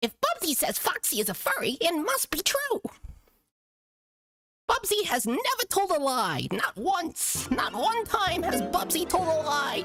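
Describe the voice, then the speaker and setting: An extremely high-pitched put-on character voice at a moderate pace, with very wide pitch swings and long, frequent pauses. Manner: boastful, cocky.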